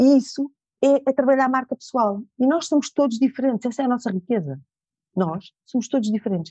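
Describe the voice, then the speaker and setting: Speaking at a fairly quick pace, a woman with a high pitch and a dark, mellow tone uses ordinary pitch variation in a dry, close recording with no echo. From Portugal, Lisbon area. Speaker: image and attitude trainer, former model. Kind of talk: interview.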